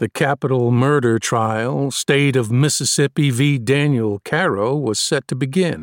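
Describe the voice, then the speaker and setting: A man with an ordinary speaking voice talks at a fairly slow pace with hardly any pauses and ordinary pitch variation, in a very clean recording with a silent background and a dry, close sound with no echo. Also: medium pitch for a man. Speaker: audiobook narrator. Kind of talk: audiobook reading, first-person narration with courtroom opening statement. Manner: formal, measured, persuasive courtroom oratory.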